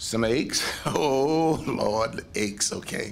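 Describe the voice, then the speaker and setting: A man speaks over noticeable background noise. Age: 80s+. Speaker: panelist. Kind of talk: panel discussion.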